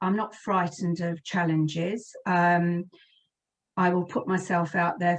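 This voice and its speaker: A woman's fairly low voice with a British accent, at a fairly slow pace. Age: 60s. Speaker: career and lifestyle coach. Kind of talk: interview. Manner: hesitant, many fillers.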